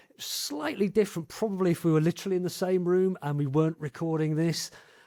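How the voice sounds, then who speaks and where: A man speaks at a very fast pace with a high pitch and fairly even intonation. Noticeable background noise runs underneath. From English Midlands. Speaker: podcast host. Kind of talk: interview conversation.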